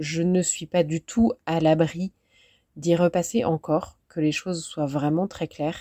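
Speaking at a very slow pace, a woman has a dark, mellow tone and a fairly low pitch with ordinary pitch variation. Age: 40s. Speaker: life coach. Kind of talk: podcast monologue. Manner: halting.

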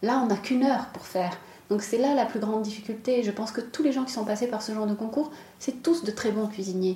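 Over noticeable background noise, a woman speaks at a fairly quick pace with a fairly high pitch and fairly even intonation. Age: 30s. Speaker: chocolatier. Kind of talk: interview.

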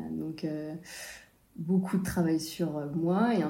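With audible room echo, a woman speaks very slowly in a fairly low pitch and with fairly even intonation. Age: 30s. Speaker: freediving instructor and breathwork coach. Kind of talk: interview.

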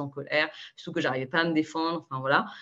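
A plain, everyday voice from a woman at a fairly quick pace. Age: 20s. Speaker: consultant sharing eating disorder recovery. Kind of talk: interview testimony.

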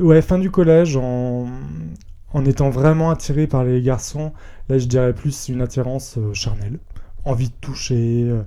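Noticeable background noise surrounds a man's voice. His pitch is medium, with ordinary variation. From France, Rhône-Alpes (near Villefranche, Lyon area). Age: 20s. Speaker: podcast guest, entertainment company employee. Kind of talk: personal testimony interview. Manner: hesitant, many fillers.

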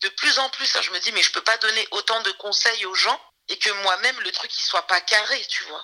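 A woman's fairly high-pitched voice, a normal speaking voice, at a moderate pace with ordinary pitch variation. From France, Saint-Denis. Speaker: music manager and trainer. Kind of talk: interview.

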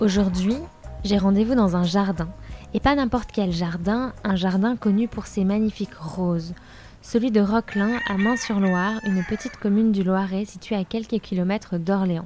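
A normal speaking voice from a woman, pitched in the medium range, with fairly even intonation and a moderate pace. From France, Touraine. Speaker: podcast host. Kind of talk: interview. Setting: outdoors in a garden.

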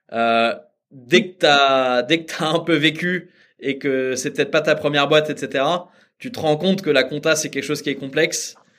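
The man has an unremarkable speaking voice, fairly high in pitch, and moves at a fairly slow pace. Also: ordinary pitch variation. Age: 30s. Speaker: startup founder. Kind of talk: interview.

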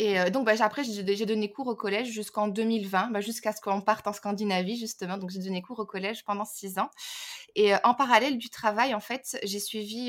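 Her intonation stays fairly even. The woman's pitch is fairly high. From Belgium. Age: 30s. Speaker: language teacher and teacher trainer. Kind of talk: casual interview chat. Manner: hesitant, many fillers.

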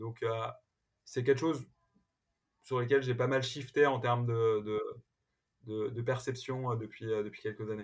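Using monotone, flat intonation, a man speaks at medium pitch and a fairly slow pace with long, frequent pauses. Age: 40s. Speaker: entrepreneur. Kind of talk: interview. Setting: remote recording from home. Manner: halting, many repetitions and fillers.

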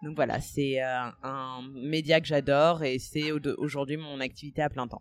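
With a very deep, low pitch and monotone, flat intonation, a woman speaks at a fairly slow pace with hardly any pauses. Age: 30s. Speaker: podcaster. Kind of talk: interview. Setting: café. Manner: hesitant, many fillers.

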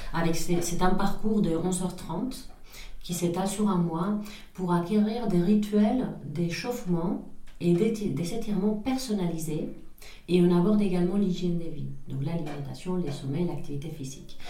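Amid noticeable background noise and audible room echo, a woman speaks in a Spanish accent. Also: fairly low pitch for a woman, ordinary pitch variation, fairly slow pace. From northern Spain (Pamplona). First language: Spanish (speaking French). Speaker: entrepreneur. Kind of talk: interview. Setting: office.

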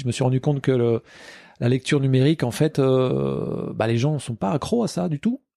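A man's dark, mellow voice at medium pitch, with ordinary pitch variation, a moderate pace and a dry, close sound with no echo. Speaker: comic book author. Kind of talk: interview. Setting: martial arts club.

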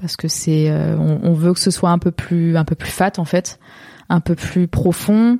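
This woman's voice is fairly low, somewhat breathy and dark and mellow, moving at a fairly slow pace with fairly even intonation in a dry, close sound with no echo. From southern France, Montpellier area. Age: 20s. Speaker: painter. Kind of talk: interview.

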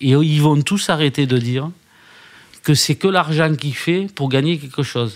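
A man with a southern French accent speaks with ordinary pitch variation. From southern France (Alès, Gard). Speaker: newspaper founder and publisher. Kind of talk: interview. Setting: hotel lounge.

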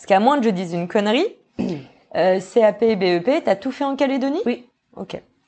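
At a moderate pace, a woman with a fairly high pitch talks with lively intonation and long, frequent pauses. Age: 30s. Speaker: podcast host. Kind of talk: interview.

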